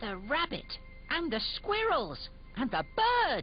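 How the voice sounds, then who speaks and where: Over clear music in the background, a cartoonish character voice speaks at a fairly slow pace. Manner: eager, earnest.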